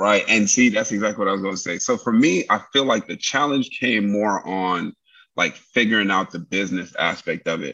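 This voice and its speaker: Against a quiet background, a man with a New York accent speaks at a moderate pace in a bright, sharp tone, his pitch fairly low with ordinary variation. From New York, Brooklyn. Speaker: military veteran and entrepreneur. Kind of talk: casual interview.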